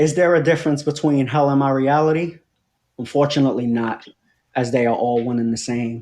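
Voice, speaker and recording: This man has a plain, everyday voice, pitched fairly high and with fairly even intonation. He talks at a fairly quick pace against a quiet background. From New York City (Brooklyn), Puerto Rican. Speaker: poet. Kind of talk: poetry reading.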